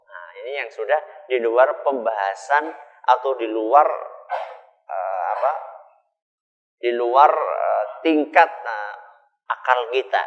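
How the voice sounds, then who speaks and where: Speaking at a very slow pace with long, frequent pauses, a man uses lively intonation and big swings in loudness. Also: medium pitch for a man. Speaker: Islamic preacher, ustadz. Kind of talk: Islamic sermon to a live audience.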